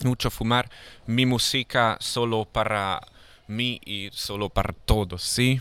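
This man talks at a very slow pace with a medium pitch, a bright, sharp tone, fairly even intonation and a non-native accent. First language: not Spanish (speaking Spanish). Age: 20s. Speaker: rapper. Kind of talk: casual chat. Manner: halting.

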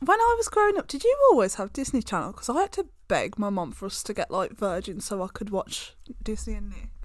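Playful, fairly quick delivery in a British accent. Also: woman. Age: 20s. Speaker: podcast co-host. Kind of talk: casual chat. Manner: laughing, playful.

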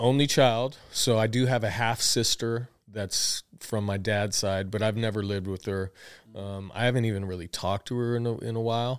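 In a Southwestern US accent, a man speaks at a moderate pace and medium pitch with fairly even intonation, on a very clean recording with a silent background. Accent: US Southwest American. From Tucson, Arizona. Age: 40s. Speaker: podcast host, business owner. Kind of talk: casual chat, personal storytelling. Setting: office studio.

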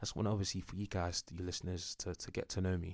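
Talking at a very fast pace, a man with a London accent and a very deep, low pitch comes through on a very clean recording with a silent background. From North London, England (Enfield). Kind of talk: casual monologue. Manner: animated.

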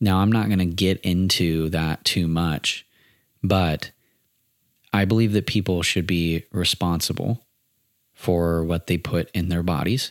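On a very clean recording with a silent background, a man with a very deep, low pitch speaks at a fairly slow pace, using fairly even intonation and long, frequent pauses. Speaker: podcast host. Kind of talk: solo monologue podcast. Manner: pauses a lot.

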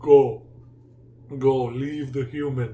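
Putting on a character voice, a man speaks at a medium pitch with monotone, flat intonation. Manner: lazy, dismissive, silly-sounding.

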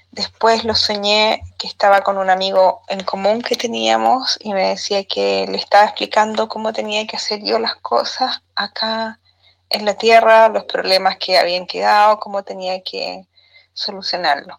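A woman at a fairly slow pace, with a Chilean accent. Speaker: widowed listener sending a voice note. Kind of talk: recorded voice message. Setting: voice note.

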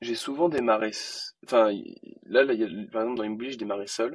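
A man's voice at a medium pitch. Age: 20s. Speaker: entrepreneur. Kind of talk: interview.

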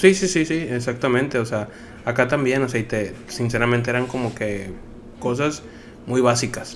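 Noticeable background noise and audible room echo surround this man's voice. His pitch is medium, with ordinary variation. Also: moderate pace. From Nuevo Laredo, Mexico. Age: 30s. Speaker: logistics worker. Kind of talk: casual chat.

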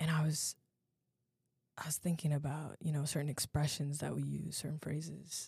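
Dry and close with no echo, a woman's voice sounds very deep and low in pitch, somewhat breathy and dark and mellow in tone, with monotone, flat intonation. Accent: American. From US, Virginia (Alexandria). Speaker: podcast host, university student. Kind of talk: solo educational podcast talk. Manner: casual, conversational.

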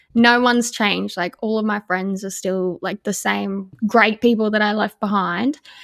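A woman with an Australian accent, medium pitch and fairly even intonation, at a moderate pace with hardly any pauses, in a dry, close sound with no echo. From Australia, Darwin. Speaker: podcast co-host. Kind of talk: casual chat.

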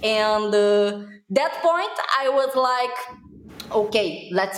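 Here a woman talks with a Brazilian accent. Her pitch is fairly high, with ordinary pitch variation. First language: Portuguese. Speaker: social media influencer. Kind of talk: podcast interview. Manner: animated.

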